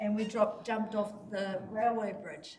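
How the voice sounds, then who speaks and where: A woman at a fairly high pitch and moderate pace, her intonation fairly even, over noticeable background noise. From New Zealand, Gisborne (Kaiti). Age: 60s. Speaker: community representative speaking at public input. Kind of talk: public submission to council. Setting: council meeting chamber. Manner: halting, with repetitions.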